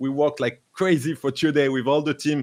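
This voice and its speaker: A man at a moderate pace in a very clean recording with a silent background. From France. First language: French. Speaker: crypto livestream host. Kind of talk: live interview show. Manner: halting, many fillers.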